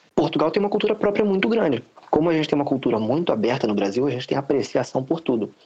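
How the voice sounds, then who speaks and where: A very fast man's voice, fairly high in pitch with very wide pitch swings, over noticeable background noise. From Rio de Janeiro, Brazil. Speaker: immigrant student. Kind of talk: casual chat.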